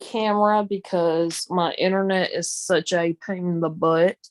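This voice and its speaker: A woman speaks at a very slow pace with a Southern accent, her pitch medium and its variation ordinary. The recording is very clean with a silent background, and the sound is dry and close with no echo. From US South. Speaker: live streamer. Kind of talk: casual chat. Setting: live stream, audio only.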